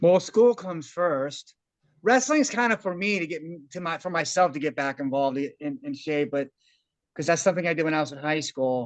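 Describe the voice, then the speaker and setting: A man with a plain, everyday voice talks at a fairly quick pace. His pitch is fairly high and his intonation lively. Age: 40s. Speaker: meeting participant, tutor and wrestling coach. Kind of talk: casual group discussion. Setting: video call.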